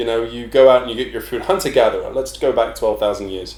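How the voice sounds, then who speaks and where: Audible room echo surrounds the voice. A man speaks with an English accent. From England. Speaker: personal trainer. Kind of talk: casual chat.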